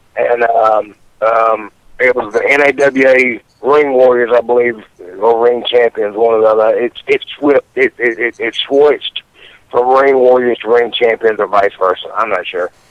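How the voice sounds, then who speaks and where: A man speaks in a normal speaking voice, moderately paced and medium in pitch, his intonation fairly even. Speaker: professional wrestler, radio guest. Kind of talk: casual radio interview answer. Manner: casual, profane.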